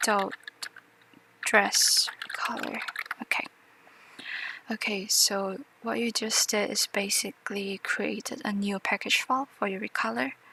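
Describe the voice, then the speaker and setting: With a non-native accent, a woman speaks fairly slowly and leaves long, frequent pauses, with noticeable background noise behind her. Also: medium pitch for a woman, ordinary pitch variation, dry, close sound with no echo. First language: not English. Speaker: tutorial maker. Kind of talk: tutorial. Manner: hesitant, many fillers.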